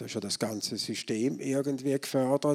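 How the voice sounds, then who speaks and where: This man has an unremarkable speaking voice, medium in pitch, with fairly even intonation and a moderate pace. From Switzerland, St. Gallen. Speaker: economics professor. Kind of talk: lecture.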